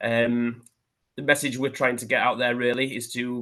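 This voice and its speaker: A man in a West Yorkshire accent, bright and sharp in tone, with monotone, flat intonation over a quiet background. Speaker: police hate crime officer. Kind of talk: seminar presentation. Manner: hesitant, many fillers.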